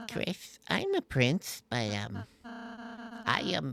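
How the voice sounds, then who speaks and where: Using a put-on character voice, a man at a medium pitch makes very wide pitch swings at a very slow pace, in a dry, close sound with no echo. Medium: game stream. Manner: soft, hesitant.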